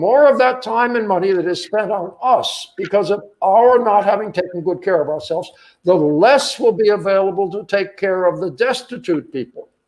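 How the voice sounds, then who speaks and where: At a moderate pace with hardly any pauses, a man with a high voice talks with ordinary pitch variation. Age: 80s+. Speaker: scholar speaking on Gandhi's health methods. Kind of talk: webinar talk.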